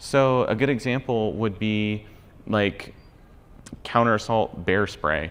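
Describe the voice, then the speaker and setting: Long, frequent pauses break up this man's speech. His voice is fairly low, with ordinary pitch variation. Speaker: travel content creator and conference speaker. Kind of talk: conference talk. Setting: stage with audience. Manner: fast.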